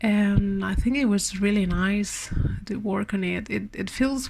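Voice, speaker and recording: The woman's voice is somewhat breathy, medium in pitch, with fairly even intonation. She speaks at a fairly slow pace. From Spain. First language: Spanish. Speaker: part-time artist. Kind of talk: art vlog voiceover. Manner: halting, many repetitions and fillers.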